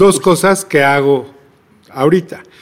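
Here a man with a normal speaking voice talks at a fairly high pitch with ordinary pitch variation. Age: 50s. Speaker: record label director and festival promoter. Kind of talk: interview.

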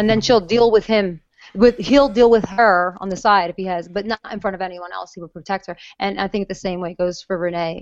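A woman at a fairly quick pace, fairly even intonation, a normal speaking voice. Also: medium pitch for a woman. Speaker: actress. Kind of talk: casual interview. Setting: video call.

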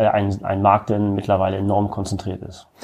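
Against a quiet background, a man's fairly low voice has a dark, mellow tone. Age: 30s. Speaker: retail chain executive. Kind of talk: interview.

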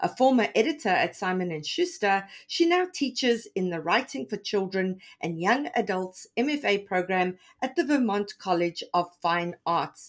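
The speaker barely pauses at all. Their pitch swings very widely. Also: woman, medium pitch for a woman, moderate pace. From South Africa. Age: 40s. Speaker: podcast host and author. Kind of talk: interview.

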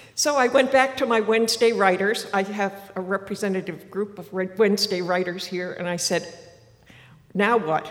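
A woman with an American accent talks at a moderate pace, her pitch medium with ordinary variation. There is noticeable background noise. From Martha's Vineyard, Massachusetts. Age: 80s+. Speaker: writer and former boat captain. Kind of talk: live storytelling. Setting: stage with audience.

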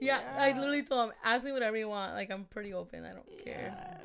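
A woman at a very fast pace and a fairly high pitch, with big swings in loudness over noticeable background noise. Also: ordinary pitch variation. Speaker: radio personality, podcast guest. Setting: podcast interview. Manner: casual, profane.

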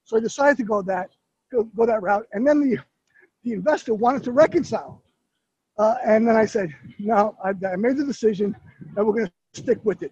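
A man with a high pitch and animated tone speaks with ordinary pitch variation and long, frequent pauses, in a dry, close sound with no echo. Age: 50s. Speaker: app founder and coach. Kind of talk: casual interview. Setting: walking the streets of New York, live on Facebook.

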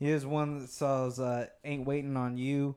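At a fairly slow pace, a man with a fairly high pitch talks in an ordinary speaking voice. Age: 20s. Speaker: podcast guest. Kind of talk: casual chat. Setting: home studio.

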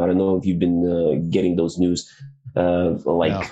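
Noticeable background noise behind a man's very deep, low voice at a moderate pace. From Belarus (Minsk). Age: 30s. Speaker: comedian. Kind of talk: casual chat.

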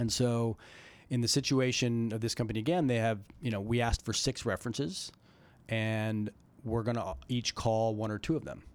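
A man with a normal speaking voice talks at a moderate pace and medium pitch on a very clean recording with a silent background. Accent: American. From Colorado. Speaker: venture capital investor. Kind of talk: interview conversation.

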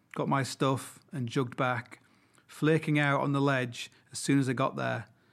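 With fairly even intonation, the speaker reads in a natural reading voice.

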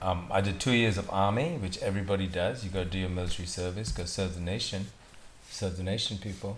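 Very deep and low, a man's somewhat breathy voice moves at a very fast pace with fairly even intonation. The room echo is audible. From Singapore. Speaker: director and entrepreneur. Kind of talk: casual chat.

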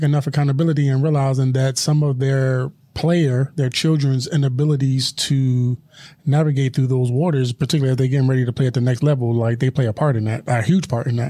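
A man's fairly high, somewhat breathy voice with a dark, mellow tone, at a fairly quick pace with fairly even intonation. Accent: American. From Philadelphia. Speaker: podcast host. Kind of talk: casual interview chat.

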